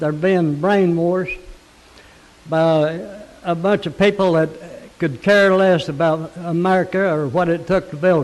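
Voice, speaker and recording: Pausing long and often, a man with a high pitch talks at a fairly slow pace with fairly even intonation. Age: 80s+. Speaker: war veteran, public commenter. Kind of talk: public comment.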